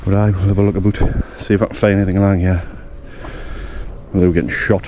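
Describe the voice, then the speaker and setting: Over noticeable background noise, someone speaks at a very fast pace in a monotone, flat delivery. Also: man, fairly low pitch for a man. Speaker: history explorer vlogger. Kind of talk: casual walking vlog narration. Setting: outdoors in countryside.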